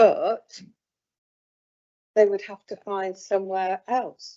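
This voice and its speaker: The pace of this woman's speech is very slow. Her pitch sits at a medium level. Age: 70s. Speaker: local councillor. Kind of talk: committee debate. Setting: council meeting.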